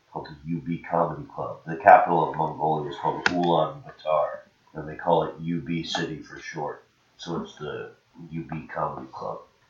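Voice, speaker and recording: A man's voice with big swings in loudness, a moderate pace and noticeable background noise. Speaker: touring comedian. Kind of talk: casual chat. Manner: good cadence.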